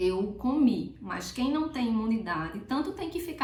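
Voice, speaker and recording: A woman at a fairly slow pace with lively intonation, in audible room echo and noticeable background noise. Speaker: prenatal health educator. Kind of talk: health tutorial. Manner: casual, chatty.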